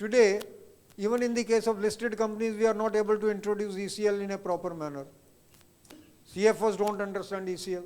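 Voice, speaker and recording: A high-pitched man at a very fast pace, fairly even intonation, long and frequent pauses. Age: 70s. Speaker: chartered accountant, past professional body president. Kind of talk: Q&A answer at a professional seminar.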